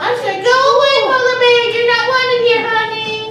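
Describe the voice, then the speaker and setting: A woman puts on a character voice at an extremely high pitch. Her pace is moderate. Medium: stage play. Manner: bubbly, playful.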